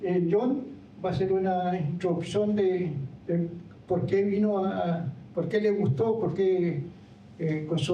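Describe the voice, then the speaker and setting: Against audible room echo, a high-pitched man speaks at a very slow pace with long, frequent pauses, ordinary pitch variation and very even loudness. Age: 70s. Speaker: former park ranger, trail co-founder. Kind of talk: public talk. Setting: lecture hall with audience. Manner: halting.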